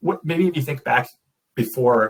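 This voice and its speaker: A man with a Midwestern accent talks at a fairly quick pace. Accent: American Midwest. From US, Detroit. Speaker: interviewer. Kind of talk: interview.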